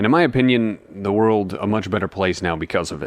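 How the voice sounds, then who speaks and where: An unremarkable speaking voice from a man, fairly low in pitch, at a moderate pace with ordinary pitch variation and a quiet background. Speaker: radio DJ. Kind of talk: rock radio music-history talk break.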